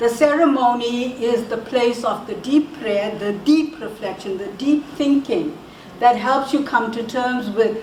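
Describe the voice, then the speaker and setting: A woman's high voice with ordinary pitch variation in a South African accent at a very slow pace, with audible room echo and noticeable background noise. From South Africa, Indian descent. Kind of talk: talk to an audience. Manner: halting, many repetitions and fillers.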